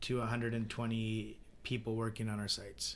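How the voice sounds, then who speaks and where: Audible room echo surrounds a man with a Canadian accent who speaks at a moderate pace and a medium pitch. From British Columbia, Canada (Vernon). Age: 30s. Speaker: home builder. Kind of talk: interview.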